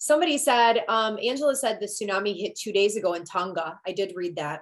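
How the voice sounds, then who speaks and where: Talking at a fairly quick pace with a Michigan accent, a woman has a medium pitch and lively intonation. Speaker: astrologer, live stream host. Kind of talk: casual live stream conversation.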